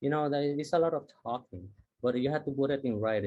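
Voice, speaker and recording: A man with a Puerto Rican accent at a fairly quick pace, with fairly even intonation. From Puerto Rico, southern part of the island. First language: Spanish. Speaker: university diversity dean, scientist. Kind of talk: workshop talk. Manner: halting, many fillers.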